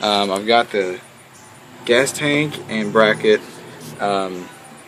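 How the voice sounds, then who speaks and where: Noticeable background noise sits behind a man with a Southern US accent. He talks at a very slow pace with fairly even intonation. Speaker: hobbyist moped restorer, IT worker. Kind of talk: casual video blog walkthrough.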